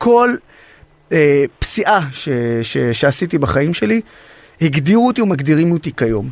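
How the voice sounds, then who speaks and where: A man with an Arabic accent, fairly high in pitch, with very wide pitch swings, a fairly slow pace, and long, frequent pauses. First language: Arabic (speaking Hebrew). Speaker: activist and social media influencer, wounded army veteran. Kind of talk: interview.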